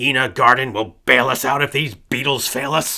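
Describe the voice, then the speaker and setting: Using a put-on character voice, the man sounds raspy at a medium pitch. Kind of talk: 1960s office boss. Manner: pushy.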